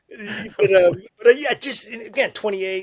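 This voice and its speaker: A man talks in a high pitch. Noticeable background noise runs underneath. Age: 60s. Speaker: former Navy fighter pilot, war veteran. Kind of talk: podcast interview, storytelling.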